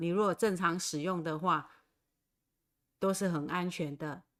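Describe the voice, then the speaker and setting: In a very clean recording with a silent background, a woman with a fairly low pitch talks at a fairly slow pace with ordinary pitch variation. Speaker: Taiwanese language teacher. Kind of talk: livestream language lesson. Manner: slow, repetitive.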